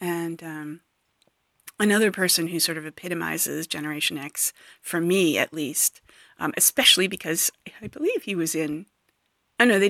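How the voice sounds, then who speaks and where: A woman's bright, sharp, fairly low voice comes with long, frequent pauses in a dry, close sound with no echo on a very clean recording with a silent background. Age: 40s. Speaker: podcast host. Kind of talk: solo monologue podcast. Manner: halting, many fillers.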